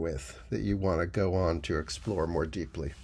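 A man speaks with vocal fry. His pace is moderate. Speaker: workshop teacher. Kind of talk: casual announcement to camera. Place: home room. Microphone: phone near.

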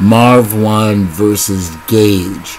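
The voice carries fairly even intonation over light background noise. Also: man. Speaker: battle rap commentator. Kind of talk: casual commentary. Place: home room. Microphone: webcam.

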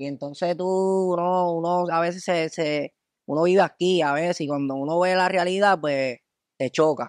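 Speaking with fairly even intonation, a man has a high pitch. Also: fairly slow pace. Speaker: comedy video creator. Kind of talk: casual chat.

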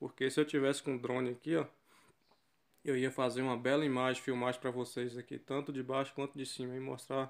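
The man talks at a fairly quick pace with a medium pitch. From western Bahia, Brazil. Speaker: travel vlogger. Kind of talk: casual vlog narration while filming. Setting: outdoors by a river. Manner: animated, enthusiastic.

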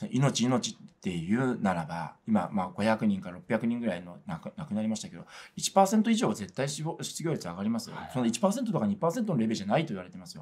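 A man talks at a fairly quick pace, with very wide pitch swings and big swings in loudness. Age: 40s. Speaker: religious organization PR staffer; religious organisation spokesman. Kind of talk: interview. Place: studio.

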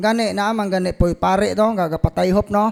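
A man with a high pitch speaks with lively intonation in a dry, close sound with no echo. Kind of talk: Q&A teaching on faith.

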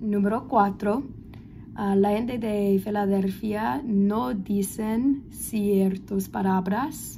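At a very slow pace, a woman speaks with a somewhat breathy, dark, mellow tone and medium pitch. Her pitch variation is ordinary, and light background noise can be heard. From Philadelphia, US. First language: English (speaking Spanish). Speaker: language student. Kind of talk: class presentation. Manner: halting. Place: home room. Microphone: phone near.

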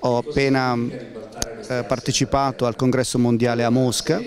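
Faint background noise accompanies a man speaking at a medium pitch. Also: slightly mellow tone.

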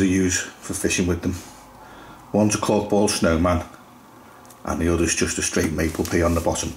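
A man speaks at a moderate pace in a low voice, his intonation fairly even.

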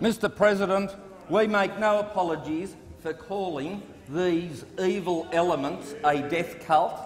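A man with a high voice talks very slowly, with ordinary pitch variation. Light background noise and audible room echo surround him. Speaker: government minister. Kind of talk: parliamentary debate speech. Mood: indignant, combative. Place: hall. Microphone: podium.

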